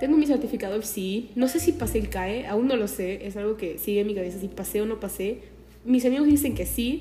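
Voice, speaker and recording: A woman moves along at a fairly quick speed, her fairly high voice showing ordinary pitch variation. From Peru, Chincha (Ica). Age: young. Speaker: podcaster. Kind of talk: casual monologue. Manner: animated.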